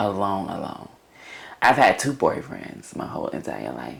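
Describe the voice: The pitch swings widely up and down, with vocal fry. The pace is moderate.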